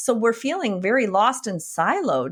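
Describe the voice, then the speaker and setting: A woman with a Wisconsin accent speaks at a moderate pace and a fairly high pitch. The background is quiet. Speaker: functional medicine physician and coach. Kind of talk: podcast interview. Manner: animated.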